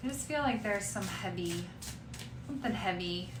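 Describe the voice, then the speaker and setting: There is audible room echo around a woman's voice. Noticeable background noise is present too. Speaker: tarot reader. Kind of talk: tarot reading. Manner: casual, hesitant with fillers.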